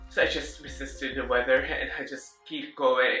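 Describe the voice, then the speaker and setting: Music plays in the background. A man with a Filipino accent talks at a moderate pace. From Philippines. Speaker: registered nurse, vlogger. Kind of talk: personal vlog. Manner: halting.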